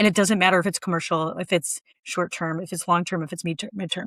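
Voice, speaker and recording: A woman with a Minnesotan accent, medium pitch and fairly even intonation, in a very clean recording with a silent background and a dry, close sound with no echo. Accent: Minnesota. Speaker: short-term rental entrepreneur. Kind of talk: podcast interview.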